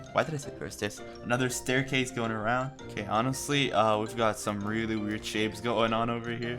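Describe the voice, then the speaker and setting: With music in the background, a man at a medium pitch speaks with ordinary pitch variation and hardly any pauses. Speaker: gaming video creator. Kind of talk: casual gameplay commentary. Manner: casual, chatty.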